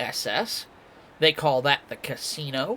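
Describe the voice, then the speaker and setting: At a fairly slow pace, a man with a fairly high pitch speaks over noticeable background noise. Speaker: sim racing commentator. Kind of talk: live commentary. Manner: quieter, subdued; laid-back.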